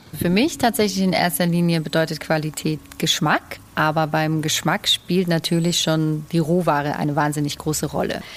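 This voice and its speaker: The voice moves at a moderate pace with fairly even intonation and very even loudness. Noticeable background noise sits behind it. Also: woman, very deep, low pitch for a woman. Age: young. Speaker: head chef. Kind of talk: casual chat.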